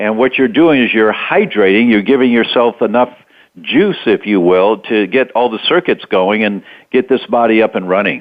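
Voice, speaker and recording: A man's medium-pitched, ordinary speaking voice at a moderate pace with ordinary pitch variation. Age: 60s. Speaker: doctor and health author. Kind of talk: interview. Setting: radio interview.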